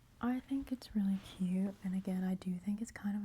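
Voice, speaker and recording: A woman's soft-spoken, somewhat breathy voice with a relaxed, dark and mellow tone. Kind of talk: ASMR soft spoken haul video. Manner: soft-spoken, relaxed, rambling.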